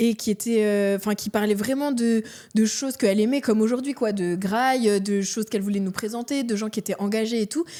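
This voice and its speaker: A woman's fairly high, dark and mellow voice at a fairly quick pace with fairly even intonation, in a very clean recording with a silent background. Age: 30s. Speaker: entrepreneur. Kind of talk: podcast interview. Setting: studio with cameras. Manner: casual, lots of fillers.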